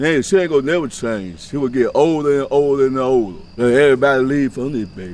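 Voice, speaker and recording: A man speaks at a fairly quick pace and medium pitch, with hardly any pauses. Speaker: local resident. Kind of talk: casual street interview.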